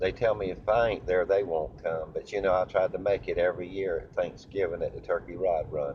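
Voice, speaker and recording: Talking at a fairly quick pace, a man speaks in a Southern US accent. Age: 60s. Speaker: impersonator of country singers. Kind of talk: casual monologue to camera. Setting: in a car.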